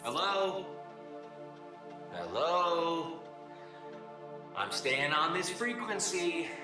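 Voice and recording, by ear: A man's put-on character voice, fairly high-pitched with big pitch swings, at a very slow pace over clear background music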